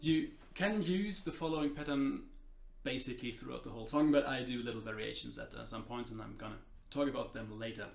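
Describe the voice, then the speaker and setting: A man with a medium pitch talks at a very fast pace. Audible room echo surrounds his voice. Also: lively intonation. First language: not English. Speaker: guitar teacher. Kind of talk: tutorial. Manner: halting, many fillers.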